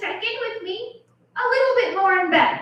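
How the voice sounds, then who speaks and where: With ordinary pitch variation, a woman's bright, sharp voice carries a nervous tone amid audible room echo. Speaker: stand-up comedian. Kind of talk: stand-up. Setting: stage with audience. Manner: sounds a little nervous. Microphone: echo in room.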